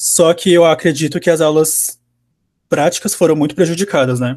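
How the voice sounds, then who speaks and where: In a very clean recording with a silent background, a normal speaking voice moves at a fairly quick pace with fairly even intonation. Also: man. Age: 20s. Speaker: university engineering student. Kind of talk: interview, casual.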